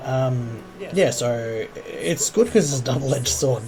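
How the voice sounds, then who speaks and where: A man with an Australian accent and a medium pitch, music playing in the background. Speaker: gaming youtuber. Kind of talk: gameplay commentary. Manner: halting, many fillers. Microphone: audio problem in recording.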